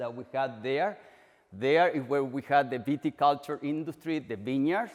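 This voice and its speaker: With a strong Chilean accent, a man speaks at a moderate pace in a medium pitch with ordinary pitch variation. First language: Spanish. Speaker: agricultural extension researcher. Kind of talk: presentation. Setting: orchard walk event.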